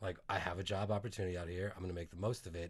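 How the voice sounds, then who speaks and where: A somewhat breathy man with an American accent, against a quiet background. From northern Virginia, US. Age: 40s. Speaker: comedian and singer. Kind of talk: casual comedic chat.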